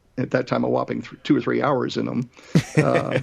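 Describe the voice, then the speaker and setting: The man speaks at a moderate pace. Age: 60s. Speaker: flight school owner and flight instructor. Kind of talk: interview. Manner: halting.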